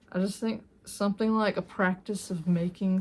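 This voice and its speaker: Somewhat breathy and dark, mellow in tone, a woman speaks at a medium pitch and a fairly slow pace with ordinary pitch variation. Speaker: art and grief content creator. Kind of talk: casual tutorial monologue. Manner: halting, many fillers.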